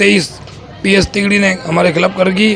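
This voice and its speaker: Over noticeable background noise, a man's high voice keeps a fairly even intonation. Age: 60s. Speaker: complainant interviewed by news reporter. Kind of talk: news interview testimony. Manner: halting, repeating words.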